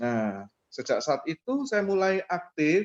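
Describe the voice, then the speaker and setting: A man speaks with a strong East Javanese accent. The sound is dry and close, with no echo. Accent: thick East Javanese. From East Java, Surabaya. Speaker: MLM presenter. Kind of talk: online business presentation with personal testimony.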